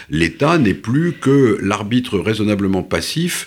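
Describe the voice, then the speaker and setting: A man speaks with lively intonation. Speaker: author and essayist. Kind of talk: interview. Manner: halting, many repetitions and hesitations.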